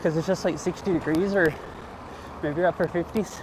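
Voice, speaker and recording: This man speaks at a fairly quick pace in a high pitch with ordinary pitch variation. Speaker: IRL streamer. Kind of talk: casual live-stream chat while biking. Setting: outdoors on a bike. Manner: casual, rambling with fillers.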